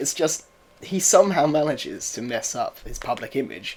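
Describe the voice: Big pitch swings mark a man's voice with a slightly mellow tone.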